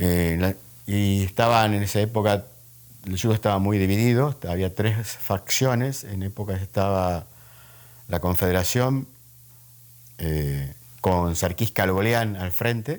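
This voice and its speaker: On a very clean recording with a silent background, a man speaks at a fairly slow pace. His fairly low voice has ordinary pitch variation and long, frequent pauses. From Argentina, Santiago del Estero. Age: 60s. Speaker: judo master. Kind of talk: interview. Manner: halting with fillers.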